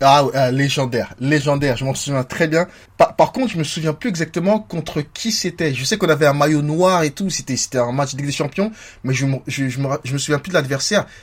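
In a very clean recording with a silent background, a man speaks fairly quickly and somewhat breathily at a fairly high pitch, with ordinary pitch variation. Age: 30s. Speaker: football podcast host. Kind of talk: casual chat.

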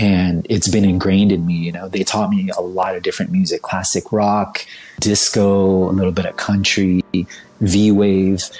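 Flat and monotone, a man with fairly low pitch and an American accent speaks at a moderate pace over noticeable background noise. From United States, Vietnamese American family. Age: 40s. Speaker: creative director and DJ. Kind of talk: casual chat.

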